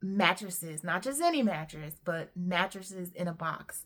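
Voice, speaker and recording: Speaking at a fairly slow pace, a woman has a plain, everyday voice at a medium pitch. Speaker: entrepreneurship YouTuber. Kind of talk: casual vlog monologue.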